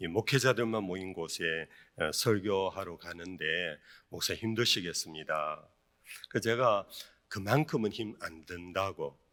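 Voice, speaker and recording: A man with a strong Gyeongsang accent at a very slow pace, in a fairly low pitch with ordinary pitch variation and a bright, sharp tone, on a very clean recording with a silent background. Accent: thick Gyeongsang dialect. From South Korea, Daegu (Gyeongsang). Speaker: pastor. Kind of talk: sermon. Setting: church retreat, evening service with audience. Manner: many filler sounds (eo, e).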